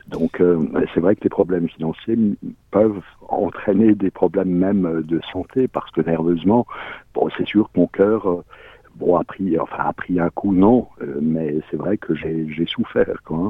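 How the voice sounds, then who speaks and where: Speaking at a fairly slow pace, the voice leaves long, frequent pauses. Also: man, very deep, low pitch for a man. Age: 60s. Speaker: pre-retired salesman sharing debt story. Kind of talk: testimony. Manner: halting.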